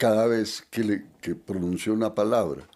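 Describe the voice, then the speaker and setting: Recorded very cleanly against a silent background, a man speaks with a fairly low pitch and fairly even intonation. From Antioquia, Colombia. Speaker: poet. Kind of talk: interview answer.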